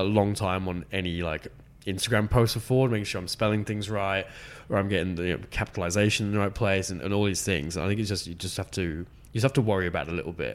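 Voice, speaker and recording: This man talks at a very fast pace in an Australian accent. His pitch is fairly low, and his intonation stays fairly even. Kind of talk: casual interview.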